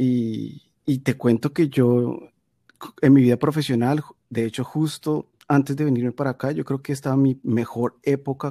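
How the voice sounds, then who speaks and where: A man's medium-pitched voice at a moderate pace, dark and mellow in tone, with fairly even intonation and a dry, close sound with no echo, on a very clean recording against a silent background. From Colombia, Medellín. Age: 40s. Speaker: podcaster. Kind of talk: casual interview.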